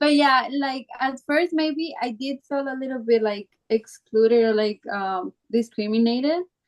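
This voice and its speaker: With a Colombian accent, the speaker goes at a fairly slow pace with ordinary pitch variation and hardly any pauses. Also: woman, high pitch for a woman. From Colombia, Manizales. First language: Spanish. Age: 20s. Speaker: actress. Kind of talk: casual interview.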